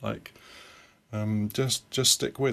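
A man with a British accent speaks at a medium pitch with ordinary pitch variation. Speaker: software consultant and programming teacher. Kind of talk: casual interview. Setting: remote call.

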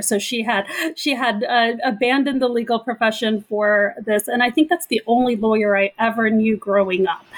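A woman has a plain, everyday voice with an American accent and a fairly high pitch. She speaks at a moderate pace with ordinary pitch variation. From Southern California. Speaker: lawyer and former prosecutor. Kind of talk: panel interview.

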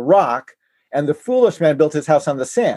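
A man with an American accent speaks at a fairly high pitch in a dark, mellow tone. The background is quiet. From Navajo Nation, US Southwest. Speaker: author and former presidential candidate. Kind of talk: podcast interview.

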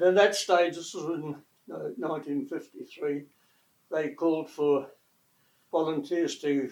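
This man speaks with a New Zealand accent at a fairly high pitch. His intonation stays fairly even. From New Zealand, West Coast. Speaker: retired air force engine technician. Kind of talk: oral history interview.

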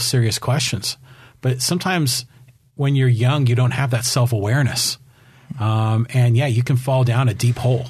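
A man talks at a fairly quick pace with medium pitch and a somewhat breathy voice. His intonation is fairly even and his loudness very even. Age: 50s. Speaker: podcast host. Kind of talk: interview.

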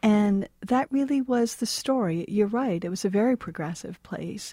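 A woman with an American accent at medium pitch and moderate pace, dark and mellow, somewhat breathy, in a dry, close, very clean recording with a silent background. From New Hampshire, US. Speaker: author and professor. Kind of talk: interview.

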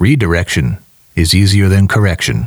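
A man puts on a character voice and pitches it very deep and low. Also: moderate pace, lively intonation. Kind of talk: sermonizing. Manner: pulpit tone.

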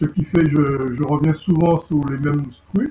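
A man speaks at a fairly slow pace, somewhat breathy and at a fairly high pitch. His tone is dark and mellow, and his intonation fairly even. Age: 60s. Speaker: bass student. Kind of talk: testimony. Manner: halting.

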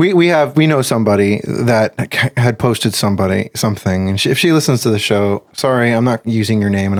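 On a very clean recording with a silent background, a man with a plain, everyday voice talks at a fairly quick pace with ordinary pitch variation. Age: 40s. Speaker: podcast host. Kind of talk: casual chat.

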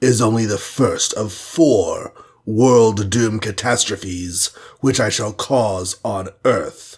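Using a put-on character voice, a man speaks at a very slow pace in a medium pitch with fairly even intonation. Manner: ominous, menacing.

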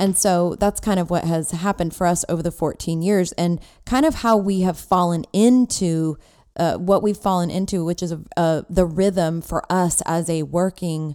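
A woman's dark, mellow voice at a fairly slow pace, with ordinary pitch variation, on a very clean recording with a silent background. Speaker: podcast host, network marketing entrepreneur. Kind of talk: casual chat. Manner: animated, loud, energetic.

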